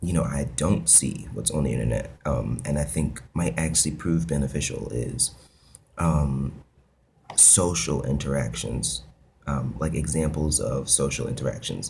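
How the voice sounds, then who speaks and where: Through audible room echo, a man speaks fairly slowly in a very deep, low voice with vocal fry and ordinary pitch variation. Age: 20s. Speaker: video blogger. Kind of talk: casual vlog monologue. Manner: hesitant, many fillers.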